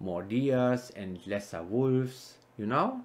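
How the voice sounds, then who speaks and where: Lively intonation comes through in this voice with a non-native accent. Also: man. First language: not English. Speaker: gaming YouTuber. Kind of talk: gameplay commentary. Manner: casual, halting.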